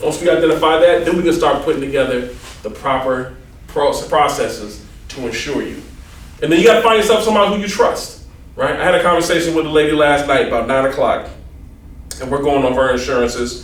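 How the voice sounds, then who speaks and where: Very fast male speech amid noticeable background noise and audible room echo. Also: fairly high pitch for a man, ordinary pitch variation. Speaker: insurance agent. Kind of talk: seminar presentation.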